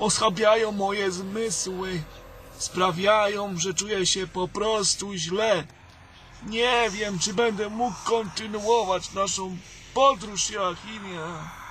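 At a very slow pace, a man speaks with a weary, anxious tone and fairly even intonation. Noticeable noise sits in the background. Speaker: weak wizard character in audio drama. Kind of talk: fantasy audio drama, theatrical dialogue. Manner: weary, anxious, formal.

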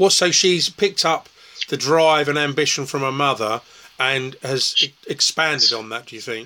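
A man speaks at a moderate pace with ordinary pitch variation and a fairly high pitch. His tone is bright and sharp, and his loudness swings widely. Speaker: festival interviewer. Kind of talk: casual interview. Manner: hesitant, filler-heavy.

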